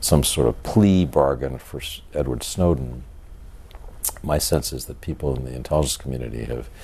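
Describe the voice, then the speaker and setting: Noticeable background noise runs behind a man whose very deep, low voice shows ordinary pitch variation. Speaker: author. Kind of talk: interview answer.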